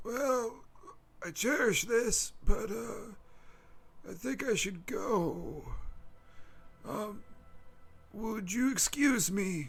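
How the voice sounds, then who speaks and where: A put-on character voice from a man, high-pitched and very slow, with long, frequent pauses. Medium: actual play. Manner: hesitant, stammering, polite.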